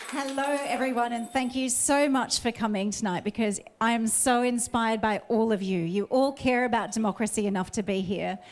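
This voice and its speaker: A woman with an Australian accent talks at a fairly quick pace in a fairly high pitch, with ordinary pitch variation and very even loudness. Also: hardly any pauses. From Australia, Sydney Northern Beaches. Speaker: election candidate. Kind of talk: campaign speech.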